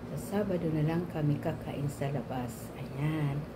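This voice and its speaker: A woman speaks with a very deep, low pitch. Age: 60s. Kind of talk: casual talk to camera.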